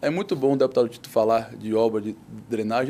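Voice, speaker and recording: The voice has a dark, mellow tone, ordinary pitch variation, and a fairly quick pace. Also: man. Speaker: mayoral candidate. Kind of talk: political debate. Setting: TV studio.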